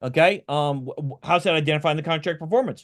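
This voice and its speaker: At a fairly quick pace, a man speaks. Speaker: compliance expert giving a webinar. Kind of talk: webinar lecture. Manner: fast; halting, many fillers and restarts.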